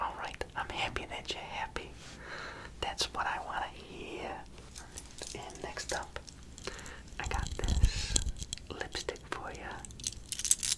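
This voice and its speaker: Amid noticeable background noise, a man whispers very slowly, leaving long, frequent pauses. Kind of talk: ASMR roleplay, personal attention show-and-tell. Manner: whispered, soft-spoken.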